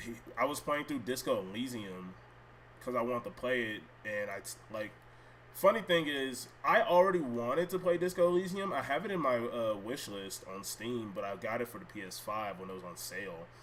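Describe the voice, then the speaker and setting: At a moderate pace, a man with a medium-pitched voice speaks with very wide pitch swings and big swings in loudness. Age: 20s. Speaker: gaming streamer. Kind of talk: casual live stream chat. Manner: rambling, many fillers.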